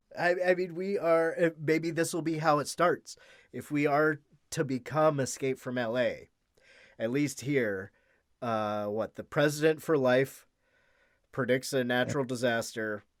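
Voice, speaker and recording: A man with an American accent speaks at a fairly slow pace, his pitch fairly high with ordinary variation. The recording is very clean, the background silent. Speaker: podcast guest. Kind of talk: casual chat. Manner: halting, with fillers.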